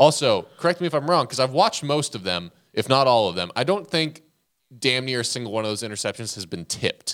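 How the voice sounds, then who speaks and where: A man at a very fast pace with very wide pitch swings, in a very clean recording with a silent background. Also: medium pitch for a man. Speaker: college football podcast co-host. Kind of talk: sports commentary. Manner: animated, sarcastic, argumentative.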